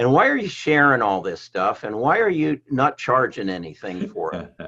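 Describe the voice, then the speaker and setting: A man's bright, sharp voice carries audible vocal fry. His pitch swings very widely. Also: fairly high pitch for a man, moderate pace. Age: 70s. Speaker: real estate agent. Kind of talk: podcast interview. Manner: halting, with frequent repetitions.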